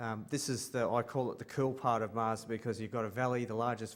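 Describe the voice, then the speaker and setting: In an Australian accent, a man of medium pitch talks at a fairly quick pace in a monotone, flat delivery, with audible echo in the room. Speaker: space artist. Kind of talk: conference panel presentation. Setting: conference stage with audience. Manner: halting, many ums.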